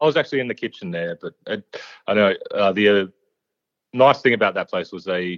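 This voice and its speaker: At a very fast pace, a man with an Australian accent speaks in a very deep, low voice. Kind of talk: casual interview chat.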